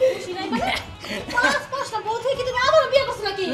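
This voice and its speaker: A woman uses a put-on character voice at an extremely high pitch and a very fast pace, with clear music in the background. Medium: short film. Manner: sharp, confrontational.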